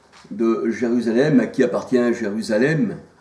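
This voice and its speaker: Amid noticeable background noise and audible room echo, a man speaks very slowly at a medium pitch with lively intonation. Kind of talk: informal sermon to camera. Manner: hesitant, many fillers.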